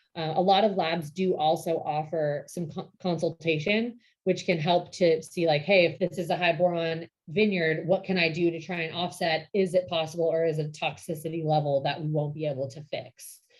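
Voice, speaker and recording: Using a normal speaking voice, a woman speaks at a moderate pace with a fairly low pitch, fairly even intonation and hardly any pauses. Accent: American. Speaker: vineyard operations director. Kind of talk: lecture.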